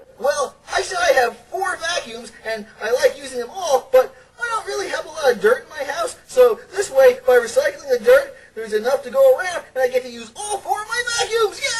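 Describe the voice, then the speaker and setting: Sweeping through very wide pitch swings, a high cartoonish character voice races along at a fairly quick pace. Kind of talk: children's puppet comedy.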